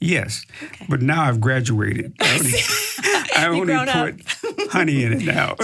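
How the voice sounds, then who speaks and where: A man speaks with lively intonation at a fairly high pitch. Noticeable background noise runs under his voice. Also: moderate pace. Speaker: minister and educator. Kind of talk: podcast interview answer. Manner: calm, warm.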